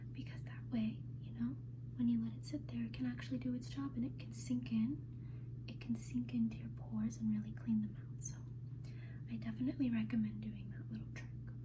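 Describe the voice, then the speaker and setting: Over noticeable background noise, a woman talks at a fairly quick pace in a relaxed tone, her very deep, low pitch held in a monotone, flat intonation. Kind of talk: ASMR roleplay as an esthetician, personal attention. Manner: soft-spoken, friendly, relaxed.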